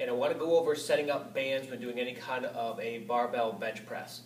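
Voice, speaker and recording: A man speaks with audible room echo. Light background noise runs underneath. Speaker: fitness coach. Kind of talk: tutorial. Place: gym. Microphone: camera far.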